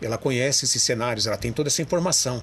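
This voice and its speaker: A man with a medium pitch and lively intonation is heard over noticeable background noise. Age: 60s. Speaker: radio broadcaster and amateur historian. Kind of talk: interview. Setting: TV studio.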